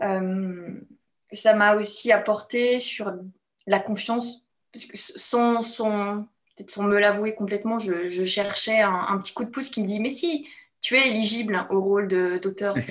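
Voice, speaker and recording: A woman with a medium-pitched voice speaks at a very slow pace, her intonation fairly even, with long and frequent pauses. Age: 30s. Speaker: bootcamp participant giving testimonial. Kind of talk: testimony interview. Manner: halting, many hesitations. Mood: reflective, warm. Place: home room. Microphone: video call.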